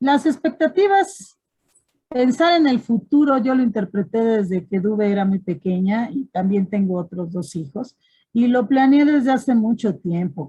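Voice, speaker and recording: A woman with a fairly high pitch, a dark, mellow tone and a somewhat breathy quality speaks at a fairly slow pace, her pitch swinging very widely. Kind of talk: panel discussion.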